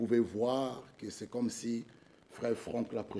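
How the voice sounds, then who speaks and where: A man's tone is dark and mellow. He speaks at a very slow pace. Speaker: preacher. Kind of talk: sermon. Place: church. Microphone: podium.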